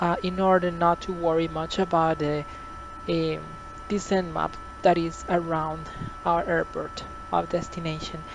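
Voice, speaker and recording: A woman with a Spanish accent at a fairly slow pace, with long, frequent pauses and noticeable background noise. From Costa Rica. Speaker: flight simulator tutorial creator. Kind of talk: tutorial. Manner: halting, many fillers.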